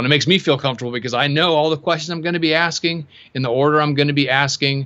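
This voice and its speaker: A man's fairly high, bright, sharp voice in an American accent, very fast and fairly even in intonation, against a quiet background. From US Pacific Northwest. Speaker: web agency owner. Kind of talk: interview. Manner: halting, many fillers and repeats.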